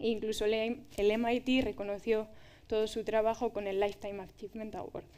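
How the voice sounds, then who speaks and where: Her voice is fairly high yet dark and mellow in tone, and this woman speaks at a moderate pace with monotone, flat intonation. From Spain, Valladolid; Spain. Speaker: doctoral researcher in materials science; speaker. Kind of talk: public talk. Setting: stage with audience. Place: stage.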